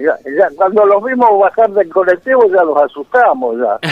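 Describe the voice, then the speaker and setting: A man speaks with a Rioplatense accent. His pace is moderate and his intonation lively. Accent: Argentine Rioplatense Spanish. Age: 80s+. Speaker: football club founder, storyteller. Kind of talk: radio interview. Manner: halting, repeats words.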